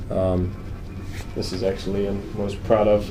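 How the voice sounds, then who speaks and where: The intonation stays monotone and flat, with audible room echo around the voice. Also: man. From Croatia. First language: Croatian. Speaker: financial planner. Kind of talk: interview.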